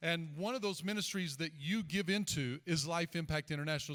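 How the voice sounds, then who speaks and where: The man talks at a fairly quick pace in a bright, sharp tone. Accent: Southern US. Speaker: pastor. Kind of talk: church service introduction. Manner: casual.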